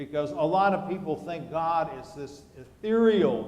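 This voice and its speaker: Recorded with audible room echo and noticeable background noise, a high-pitched man talks fairly slowly with ordinary pitch variation. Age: 60s. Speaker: pastor. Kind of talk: sermon.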